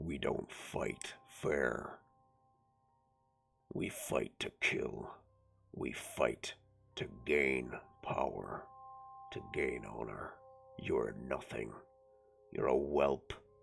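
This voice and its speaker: A man in a put-on character voice bellows at a very deep, low pitch, raspy, gravelly and rumbling. He goes very slowly with long, frequent pauses over faint background music. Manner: bellowing.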